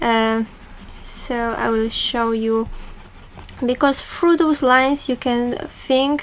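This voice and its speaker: A woman with a Polish accent, high in pitch, at a very slow pace, with fairly even intonation and long, frequent pauses. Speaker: art tutor. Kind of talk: tutorial. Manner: halting.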